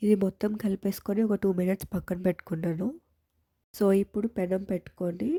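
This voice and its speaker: A woman of medium pitch speaks with a dark, mellow tone, somewhat breathy and with fairly even intonation, in a dry, close sound with no echo on a very clean recording with a silent background. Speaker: cooking vlogger. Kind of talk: cooking tutorial.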